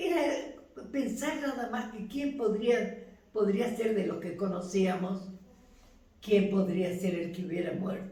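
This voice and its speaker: Speaking at a medium pitch with lively intonation, a woman goes at a very slow pace amid noticeable background noise. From Buenos Aires. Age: 80s+. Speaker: retired teacher, mother of fallen naval officer. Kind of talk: interview answer.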